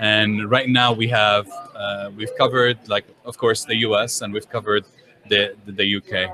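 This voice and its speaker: Over noticeable background noise, a speaker in an Arabic accent talks at a moderate pace with monotone, flat intonation. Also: man, fairly low pitch for a man. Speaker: software engineer. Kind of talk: interview. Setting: conference.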